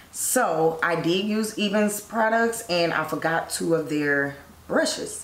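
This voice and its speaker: Audible room echo and light background noise surround this woman's voice. She speaks at a fairly slow pace. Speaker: beauty vlogger. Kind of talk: tutorial. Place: home room.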